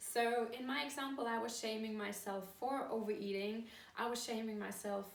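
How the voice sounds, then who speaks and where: Speaking at a moderate pace with a German accent, a woman holds a fairly high pitch and a monotone, flat intonation, with audible room echo around her. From Germany. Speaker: course founder and coach. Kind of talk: video talk to camera.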